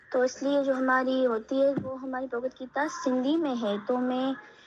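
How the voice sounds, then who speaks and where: The speaker uses fairly even intonation and speaks with a Pakistani accent. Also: woman. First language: Urdu (speaking Hindi). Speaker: new student. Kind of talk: casual chat. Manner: halting.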